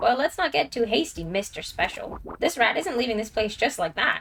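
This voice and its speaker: Using a put-on character voice, a woman speaks at a high pitch over clear background noise. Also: moderate pace. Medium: game stream. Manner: gruff, brusque.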